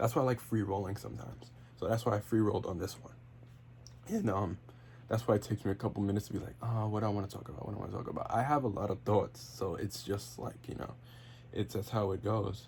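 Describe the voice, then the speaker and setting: Very wide pitch swings mark a man's fairly low voice as he talks at a very fast pace. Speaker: wrestling podcaster and YouTuber. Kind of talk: casual solo podcast monologue. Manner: stutters, fillers, free-flowing; off the cuff.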